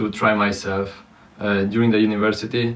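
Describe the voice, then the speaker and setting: Flat, monotone intonation in a non-native accent at a fairly slow pace. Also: man. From Romania. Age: 20s. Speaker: content creator. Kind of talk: personal vlog monologue. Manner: halting, many fillers.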